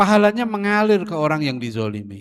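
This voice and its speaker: Very wide pitch swings mark this man's moderate-paced speech, recorded with a dry, close sound and no echo. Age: 60s. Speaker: Islamic preacher. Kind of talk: religious lecture. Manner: casual, conversational.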